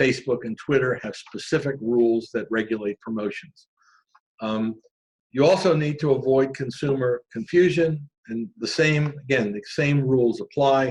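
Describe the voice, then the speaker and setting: In a normal speaking voice, a man talks at a moderate pace and a medium pitch with ordinary pitch variation. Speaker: corporate lawyer presenter. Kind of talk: webinar presentation. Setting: online webinar.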